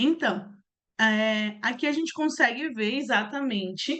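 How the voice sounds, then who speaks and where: A woman with lively intonation. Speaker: accounting instructor. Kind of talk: online class. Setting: online video class.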